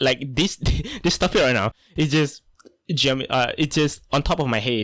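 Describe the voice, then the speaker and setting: Speaking with a Malaysian accent, a man holds very even loudness at a fairly high pitch with ordinary pitch variation. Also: moderate pace. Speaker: artist and content creator. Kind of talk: unscripted voiceover monologue. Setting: home desk recording. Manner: halting, with many fillers and restarts.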